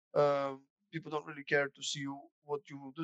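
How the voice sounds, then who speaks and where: Speaking at a fairly quick pace with a Bulgarian accent, a man uses a fairly high pitch in a dry, close recording with no echo. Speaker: former student, customer service specialist. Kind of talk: interview. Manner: casual.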